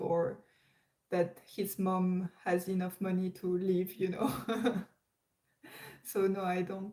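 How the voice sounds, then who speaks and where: A woman with a French accent, very slow pace, long and frequent pauses, flat monotone intonation, very even loudness. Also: medium pitch for a woman. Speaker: live streamer. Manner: hesitant, many fillers and repetitions.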